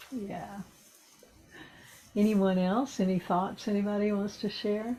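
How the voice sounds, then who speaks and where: A woman at medium pitch, somewhat breathy with a dark, mellow tone, fairly slow and in a monotone, flat intonation. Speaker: ceremony leader. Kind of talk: group sharing circle; spiritual ceremony.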